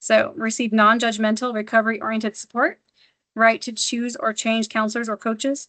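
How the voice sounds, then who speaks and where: Bright and sharp in tone, a woman speaks at a fairly quick pace in a monotone, flat way. The sound is dry and close with no echo, over a quiet background. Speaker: office manager giving staff training. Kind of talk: training presentation. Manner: fast; halting, many ums and restarts.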